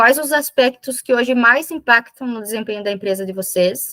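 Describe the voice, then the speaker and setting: A woman's fairly high voice has a bright, sharp tone, recorded dry and close with no echo. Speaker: business consultant facilitator. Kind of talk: online workshop presentation. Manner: halting self-corrections.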